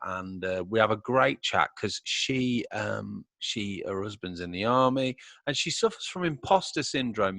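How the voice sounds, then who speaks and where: A man with a British accent speaks at a fairly low pitch with lively intonation, recorded with a dry, close sound with no echo against a quiet background. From UK. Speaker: podcast host. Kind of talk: casual interview chat. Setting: home studio.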